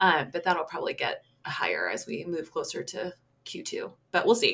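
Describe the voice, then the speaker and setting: Here a woman is speaking. Her tone is bright and sharp. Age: 30s. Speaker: podcast co-host. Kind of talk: casual chat.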